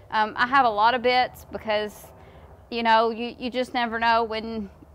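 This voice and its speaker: Intonation stays monotone and flat as a woman speaks at a moderate pace. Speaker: horse trainer. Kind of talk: casual explanatory talk. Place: farm machine.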